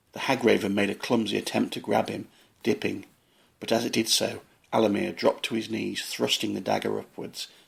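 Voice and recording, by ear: A passage is read aloud in a natural voice.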